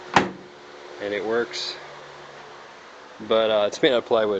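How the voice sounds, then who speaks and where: Speech comes at a very slow pace with a dry sound and no echo. Noticeable background noise is present. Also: man. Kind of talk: casual vlog chat. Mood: pleased, proud. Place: street. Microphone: phone near.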